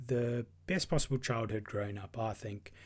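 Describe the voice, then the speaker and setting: Somewhat breathy, a man talks with a South African accent. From South Africa, KwaZulu-Natal north coast. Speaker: podcast host. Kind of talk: personal monologue.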